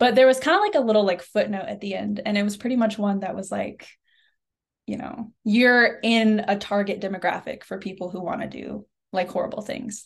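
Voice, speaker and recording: Talking at a fairly quick pace, a woman with an American accent uses a fairly high pitch, ordinary pitch variation, vocal fry and big swings in loudness. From Oklahoma, US. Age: 20s. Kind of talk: interview. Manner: casual, many fillers.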